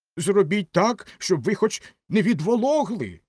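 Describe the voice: In a put-on character voice, a man talks at a fairly slow pace and a high pitch, with big pitch swings, a slightly mellow tone and a slightly husky edge, on a very clean recording with a silent background.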